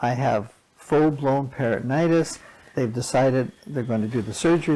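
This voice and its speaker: The speech moves at a moderate pace with ordinary pitch variation over noticeable background noise. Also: man. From western Canada. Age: 80s+. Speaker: patient advocate volunteer. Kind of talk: interview.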